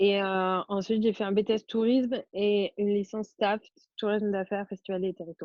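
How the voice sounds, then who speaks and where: A woman's medium-pitched voice stays monotone and flat as she moves along at a fairly quick pace. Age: 20s. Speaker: au pair. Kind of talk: interview. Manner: hesitant, many fillers.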